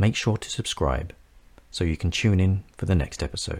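With a London accent, a man speaks at a moderate pace in a very deep, low pitch, showing vocal fry and lively intonation. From North London, England. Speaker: podcast host, psychic medium and coach. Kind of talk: scripted narration.

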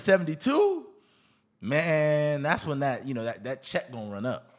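With an American accent, a man speaks at a moderate pace, his pitch swinging very widely, on a very clean recording with a silent background. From Houston, Texas (Nigerian father). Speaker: podcast co-host. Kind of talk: casual chat.

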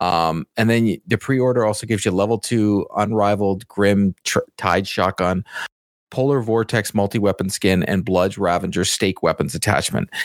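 In a Canadian accent, a man with an unremarkable speaking voice talks at a moderate pace, fairly low in pitch and fairly level in intonation, his loudness very even, the sound dry and close with no echo on a very clean recording with a silent background. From Canada. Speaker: video game podcast co-host. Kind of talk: casual chat. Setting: live show.

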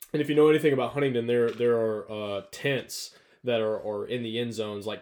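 With a Southern US accent, a man of medium pitch speaks at a fairly quick pace with fairly even intonation. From North Alabama. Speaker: college football coach. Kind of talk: casual chat.

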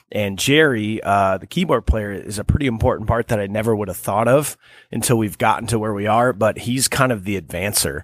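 A man with an American accent has an unremarkable speaking voice. He talks at a fairly quick pace and a fairly low pitch. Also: ordinary pitch variation. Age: 30s. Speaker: cover band drummer. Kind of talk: casual interview. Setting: studio.

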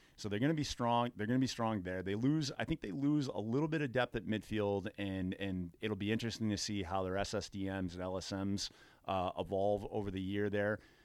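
Speaking at a fairly quick pace with hardly any pauses, a man uses a fairly low pitch and ordinary pitch variation on a very clean recording with a silent background. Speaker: lacrosse coach and athletic director. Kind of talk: casual chat.

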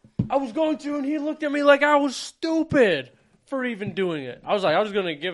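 Talking at a very fast pace, a man keeps an animated tone. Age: 20s. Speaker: podcast co-host. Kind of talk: casual chat.

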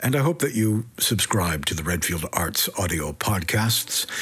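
Against noticeable background noise, a man with a fairly low voice speaks at a fairly slow pace. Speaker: podcast host. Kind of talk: podcast intro and outro.

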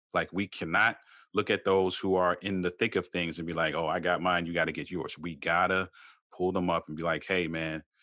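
A man with an American accent speaks with a very deep, low pitch and a bright, sharp tone in flat, monotone intonation against a quiet background. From Baltimore, Maryland, US. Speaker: marriage coach. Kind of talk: interview.

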